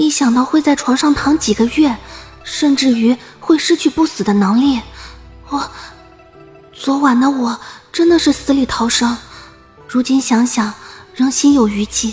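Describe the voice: Over faint music, a woman uses a put-on character voice with a high pitch, a husky, rough edge and a slightly mellow tone, speaking at a fairly slow pace with long, frequent pauses and ordinary pitch variation.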